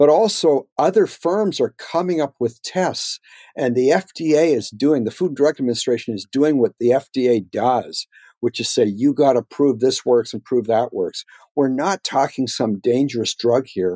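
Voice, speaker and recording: Heard in a dry, close sound with no echo, a man talks at a moderate pace with a fairly high pitch, a dark, mellow tone and lively intonation. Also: very clean recording, silent background. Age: 60s. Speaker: economist, think tank fellow. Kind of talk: interview.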